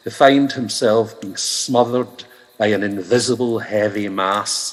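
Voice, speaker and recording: Noticeable background noise accompanies a man who talks very slowly. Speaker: stand-up comedian, voice actor, poet. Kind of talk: ghost story telling.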